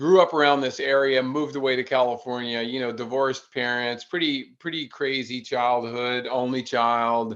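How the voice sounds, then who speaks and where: A man with an American accent talks in a plain, everyday voice. His moderate pace has hardly any pauses and fairly even intonation. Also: medium pitch for a man. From US South, North Carolina. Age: 60s. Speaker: endurance athlete. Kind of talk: podcast interview.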